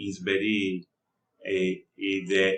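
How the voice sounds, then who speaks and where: A man speaks in a fairly low voice with a Spanish accent. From Colombia, Cartagena (Caribbean coast). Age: 20s. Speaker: student. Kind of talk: class presentation. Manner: halting, with many fillers.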